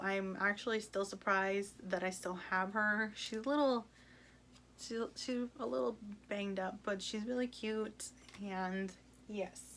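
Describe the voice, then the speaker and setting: In an American accent, a woman talks at a fairly slow pace in an unremarkable speaking voice, fairly high in pitch, with fairly even intonation. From US, Mexican American family. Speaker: book vlogger. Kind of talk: casual vlog chat. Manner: casual, many filler ums.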